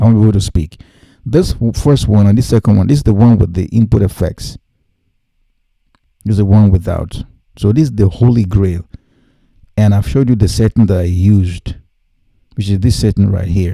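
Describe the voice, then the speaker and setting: Speaking at a fairly quick pace with long, frequent pauses, a man uses a fairly low, dark, mellow voice with ordinary pitch variation. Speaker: music production tutor. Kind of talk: tutorial. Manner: animated; halting.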